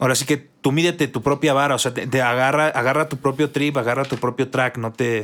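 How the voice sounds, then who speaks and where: A man with a Mexican accent speaks fairly quickly at a medium pitch, with hardly any pauses. His intonation stays monotone and flat. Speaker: gaming podcast co-host. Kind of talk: casual chat.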